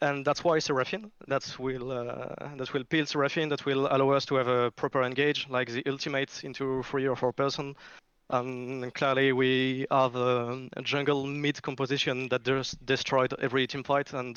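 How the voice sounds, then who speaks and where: A man with a French accent, medium-pitched, at a moderate pace, in a flat monotone. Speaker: esports team coach or captain interviewed. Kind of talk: post-match interview.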